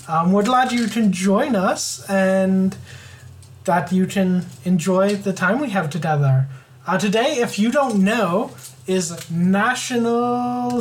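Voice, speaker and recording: Noticeable background noise and audible room echo surround speech delivered at a fairly slow pace. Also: woman. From Ontario, Canada. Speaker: podcast co-host. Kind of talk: casual chat.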